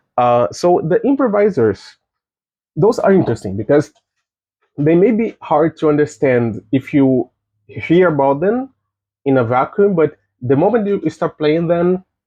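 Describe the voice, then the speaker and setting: Speaking in a non-native accent at a fairly slow pace, the voice holds very even loudness while its pitch swings very widely, broken by long, frequent pauses. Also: man, fairly high pitch for a man. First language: not English. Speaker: game developer. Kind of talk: recorded conference talk. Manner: halting, many fillers and restarts.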